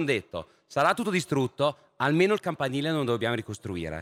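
A man with an unremarkable speaking voice talks at a fairly quick pace with lively intonation, in a dry, close sound with no echo. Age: 30s. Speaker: panel moderator, philosopher. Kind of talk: moderated panel discussion.

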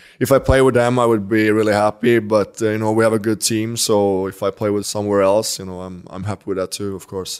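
Barely pausing, a man with a Swedish accent talks at a very fast pace in a fairly low, monotone voice with flat intonation. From Sweden. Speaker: professional hockey player. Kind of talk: interview. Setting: in person interview in Stockholm.

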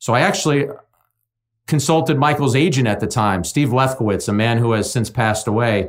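Using an ordinary speaking voice, a man talks at a fairly quick pace with medium pitch and ordinary pitch variation. The recording is very clean, with a silent background. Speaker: sports broadcaster and baseball analyst. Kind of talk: interview conversation.

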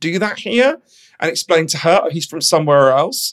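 Speaking fairly quickly with a London accent, a man has a high pitch. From London, England. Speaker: author. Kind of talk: interview.

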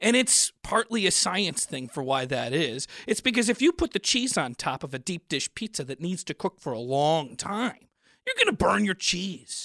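In an American accent, a man speaks at a moderate pace with a high pitch, a bright, sharp tone and very wide pitch swings, the recording very clean, dry and close with no echo and a silent background. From Chicago. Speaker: comedian. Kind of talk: comedic food debate.

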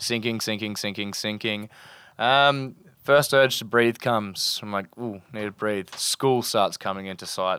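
In an Australian accent, a man with a fairly low pitch and a bright, sharp tone talks at a fairly slow pace, his loudness swinging widely, on a very clean recording with a silent background. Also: fairly even intonation. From north of Cairns, Queensland, Australia. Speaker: sailing charter captain. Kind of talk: casual interview with storytelling. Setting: on an anchored sailboat, live in front of crew.

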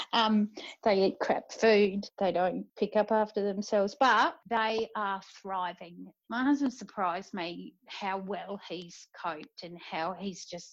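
A woman speaks in an Australian accent at medium pitch. Her pitch varies in an ordinary way. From South Australia. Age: 50s. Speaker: military spouse. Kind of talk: casual interview.

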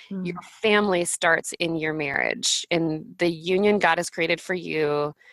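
A woman with an American accent and a plain, everyday voice speaks at a moderate pace with fairly even intonation. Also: fairly low pitch for a woman. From Florida, Pensacola. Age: 30s. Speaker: author and planner entrepreneur. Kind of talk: podcast interview.

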